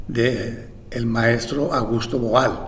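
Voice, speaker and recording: Noticeable background noise is present. A man's voice carries audible room echo. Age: 70s. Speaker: theatre director. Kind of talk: interview. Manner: halting.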